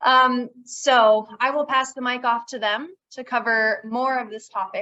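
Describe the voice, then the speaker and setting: A woman's voice, high in pitch, with a bright, sharp tone. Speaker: conservation district manager. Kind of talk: workshop presentation. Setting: workshop with live audience. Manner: soft-spoken.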